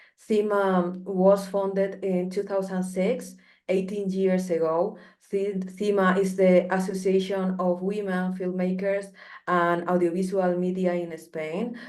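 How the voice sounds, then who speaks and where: Speaking in a Spanish accent at a fairly slow pace, the voice stays monotone with flat intonation, and audible room echo fills the recording. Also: woman, medium pitch for a woman. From Colombia. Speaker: filmmaker, association representative. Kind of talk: online panel presentation. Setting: video call.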